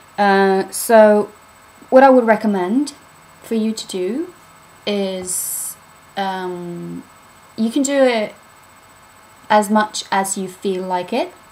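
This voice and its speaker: A woman speaks with a British accent. There is noticeable background noise. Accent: British-sounding English. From Norway. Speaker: spiritual vlogger. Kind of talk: casual vlog talk. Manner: casual, hesitant with fillers.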